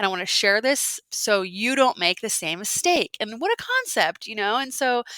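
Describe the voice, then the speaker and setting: The sound is dry and close with no echo as a woman with an American accent talks at a moderate pace, hardly pausing. Her pitch is fairly high and her intonation lively. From Alaska. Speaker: outdoor educator and podcast host. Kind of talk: interview.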